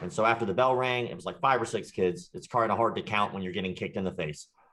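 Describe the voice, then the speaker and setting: Against a quiet background, a voice with a slight Southern US accent shows ordinary pitch variation. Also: man. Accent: slight Southern country twang. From US South, Jacksonville, Florida. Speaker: martial arts instructor and online creator. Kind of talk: interview, casual chat.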